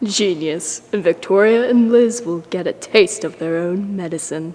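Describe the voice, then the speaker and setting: A female-sounding put-on character voice comes at a moderate pace and a medium pitch for a woman. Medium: short film.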